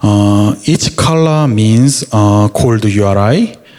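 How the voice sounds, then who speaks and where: Very slow speech in a Korean accent carries ordinary pitch variation over noticeable background noise. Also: man. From South Korea. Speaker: security engineer. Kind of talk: conference talk. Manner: halting.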